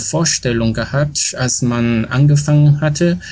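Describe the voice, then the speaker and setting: A man with a somewhat breathy, fairly high voice speaks at a very slow pace with fairly even intonation. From China, Shanghai. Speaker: Wikipedia volunteer, former foundation board chair. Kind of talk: interview. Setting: home with aircraft noise in background. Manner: halting, many fillers.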